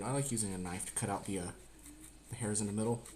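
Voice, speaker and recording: This man has an American accent. He speaks at a very fast pace. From US South, Georgia. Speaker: cooking streamer, Marine veteran. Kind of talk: live-streamed cooking tutorial. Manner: louder after viewer request; usually soft-spoken.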